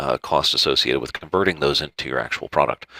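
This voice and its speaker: Speaking at a fairly quick pace with an American accent, a man has a bright, sharp tone in a dry, close recording with no echo. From US South, Georgia (Marietta). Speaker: food product consultant. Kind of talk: online presentation. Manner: fast.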